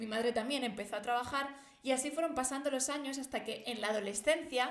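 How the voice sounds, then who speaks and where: Over noticeable background noise and audible room echo, a woman with a high pitch speaks at a fairly quick pace in a fairly even intonation. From Spain, Barcelona area (born Madrid, moved at five). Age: 20s. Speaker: theology podcaster. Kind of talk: personal testimony.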